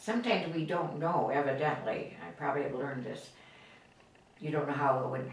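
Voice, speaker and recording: Amid noticeable background noise and audible room echo, a woman with a very deep, low pitch talks at a fairly quick pace with ordinary pitch variation. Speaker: grandmother interviewed about her life. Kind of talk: life-story interview. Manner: halting.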